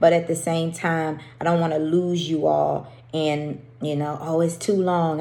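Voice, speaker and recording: Amid audible room echo, a woman with a very deep, low pitch speaks in a dark, mellow tone with monotone, flat intonation. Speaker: women's faith group leader. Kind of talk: faith devotional talk. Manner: stumbling.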